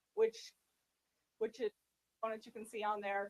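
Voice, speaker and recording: The sound is dry and close, with no echo. A woman speaks at a medium pitch. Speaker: school district risk manager presenting to board. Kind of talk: presentation at board meeting. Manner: loud.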